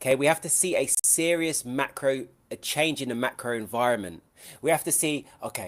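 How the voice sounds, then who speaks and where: A man speaks at a medium pitch with lively intonation and a fairly quick pace. The recording is very clean, with a silent background. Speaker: trading educator. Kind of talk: live trading stream. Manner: loud.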